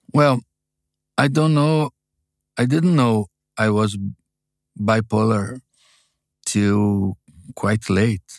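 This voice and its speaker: Speech comes very slowly in a Brazilian accent, with long, frequent pauses. Pitch varies in an ordinary way, loudness is very even, and the recording is very clean with a silent background. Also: man, medium pitch for a man, dry, close sound with no echo. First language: Portuguese. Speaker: publisher and memoir author. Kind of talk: interview. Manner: halting; humble.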